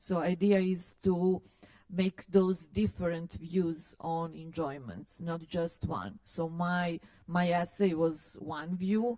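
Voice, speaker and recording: A woman with a non-native accent speaks very slowly in a fairly low, dark, mellow voice with ordinary pitch variation. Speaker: philosopher and curator giving a lecture. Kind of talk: lecture Q&A. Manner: hesitant, many fillers.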